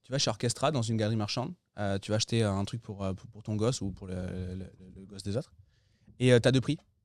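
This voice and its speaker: A man with a fairly low pitch and ordinary pitch variation talks at a very fast pace, yet with long, frequent pauses and big swings in loudness. The sound is dry and close with no echo, in a very clean recording with a silent background. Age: 30s. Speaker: entrepreneur and real estate investor. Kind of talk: interview.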